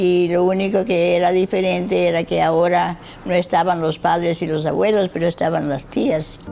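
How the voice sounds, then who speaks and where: The delivery keeps a moderate pace with fairly even intonation. Noticeable background noise is present. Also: woman. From Cuba, raised partly in Georgia, US. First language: Spanish. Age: 90s. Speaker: retired school principal. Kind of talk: interview.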